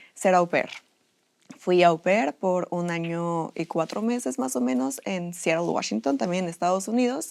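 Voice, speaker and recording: A woman speaks at a fairly slow pace with a fairly low pitch. Her intonation is lively. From Mexico, Puebla. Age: 20s. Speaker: student. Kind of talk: interview.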